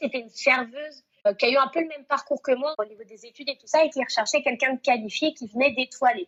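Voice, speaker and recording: Speaking at a very fast pace, a woman with a high voice keeps her intonation fairly even. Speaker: restaurant manager. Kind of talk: interview.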